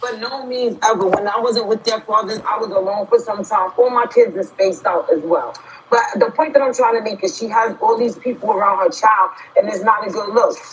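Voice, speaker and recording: A woman with a New York accent, fairly high in pitch, animated and fairly quick, with ordinary pitch variation and noticeable background noise. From New York City. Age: 40s. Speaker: livestream host. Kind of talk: casual chat. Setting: livestream.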